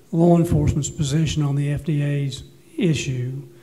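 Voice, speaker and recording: Music plays in the background as the speaker goes at a moderate pace in a room with audible echo. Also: man. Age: 60s. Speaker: panelist on medical cannabis. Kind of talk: panel discussion.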